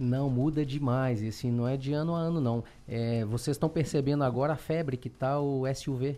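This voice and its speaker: Medium-pitched male voice with a dark, mellow tone, fairly even intonation and hardly any pauses. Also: moderate pace, very even loudness. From Belo Horizonte, Brazil. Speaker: car salesman and dealership owner. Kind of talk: interview.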